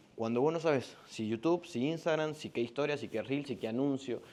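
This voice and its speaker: Speaking fairly quickly, a man uses a dark, mellow tone. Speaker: business coach. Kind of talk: sales pitch.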